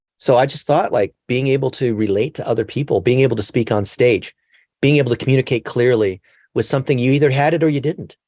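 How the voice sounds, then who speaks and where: Against a quiet background, a man talks at a very fast pace, the sound dry and close with no echo. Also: medium pitch for a man, ordinary pitch variation. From Los Angeles, US. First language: Chinese. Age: 40s. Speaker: digital marketing expert. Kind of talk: podcast interview.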